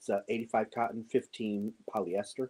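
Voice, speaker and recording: A soft-spoken man talks at a medium pitch in a dark, mellow tone. The sound is dry and close, with no echo. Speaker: crochet livestream host. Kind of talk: casual live-stream chat. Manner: soft-spoken, lowered voice. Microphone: using a microphone to talk quietly.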